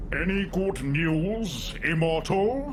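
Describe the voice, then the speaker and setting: A man does a put-on character voice at a high pitch. Loud background noise is present. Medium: video game. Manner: ornate, theatrical, condescending.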